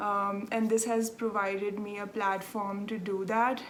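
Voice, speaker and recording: A woman with a Telugu accent speaks in monotone, flat intonation at a fairly high pitch, with audible room echo. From South India, Andhra Pradesh. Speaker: knitting podcaster. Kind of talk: casual chat. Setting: home. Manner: chatty, many filler ums.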